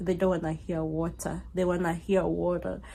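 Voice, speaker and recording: A woman with an African accent speaks at a fairly slow pace. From Kenya. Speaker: YouTuber. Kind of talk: casual storytime. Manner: conversational with many fillers.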